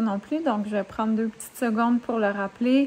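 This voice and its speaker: A woman speaks at a moderate pace in a fairly high pitch with fairly even intonation. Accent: Quebec. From Quebec. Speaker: author, YouTuber. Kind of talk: casual talk to camera.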